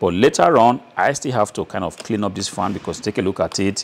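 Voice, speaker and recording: A man's fairly low-pitched, normal speaking voice at a fairly quick pace, with ordinary pitch variation. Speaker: presenter. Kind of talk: tutorial. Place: workshop. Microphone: lapel.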